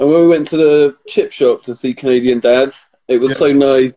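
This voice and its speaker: A man speaks in a British accent with a dark, mellow tone. His intonation is monotone and flat. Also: dry, close sound with no echo. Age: 30s. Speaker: podcast co-host. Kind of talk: casual chat. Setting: Instagram live.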